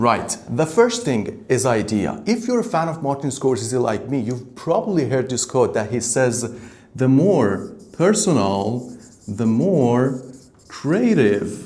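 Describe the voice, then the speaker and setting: A man speaks at a medium pitch with very wide pitch swings and a fairly slow pace. Audible room echo surrounds his voice. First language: Persian. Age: 20s. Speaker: startup founder. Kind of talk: vlog monologue. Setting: hot room.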